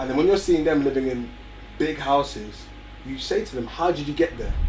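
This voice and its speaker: A man with an English accent at a fairly quick pace, music in the background. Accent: very English, well spoken. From North London, England (Barnet). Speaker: young entrepreneur, music company founder. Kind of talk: interview.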